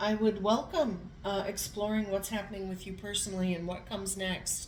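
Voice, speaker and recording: A woman talks at a moderate pace with a medium pitch. Her delivery is monotone and flat, with audible echo in the room. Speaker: tarot reader. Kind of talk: tarot reading.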